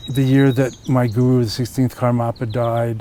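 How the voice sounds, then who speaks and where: A man talks at medium pitch and a moderate pace with monotone, flat intonation. Noticeable background noise runs underneath. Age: 60s. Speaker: Buddhist teacher. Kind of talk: interview. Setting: outdoors. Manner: conversational.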